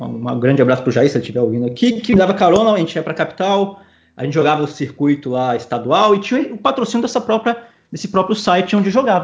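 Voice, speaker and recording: A man speaks at a very fast clip in a high voice. His pitch swings very widely. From Espírito Santo, Brazil. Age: 20s. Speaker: professional poker player. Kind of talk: casual interview.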